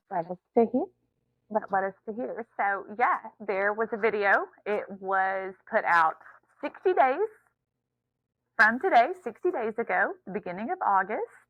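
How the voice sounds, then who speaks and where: A woman's voice with very wide pitch swings, a fairly slow pace and long, frequent pauses. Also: fairly high pitch for a woman. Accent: Southern US. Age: 30s. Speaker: podcast co-host. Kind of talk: casual chat.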